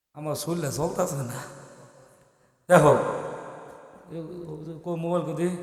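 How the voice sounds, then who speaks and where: The man's voice is high-pitched and monotone, with flat intonation. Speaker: Islamic preacher. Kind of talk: religious sermon to a live gathering. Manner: emotional.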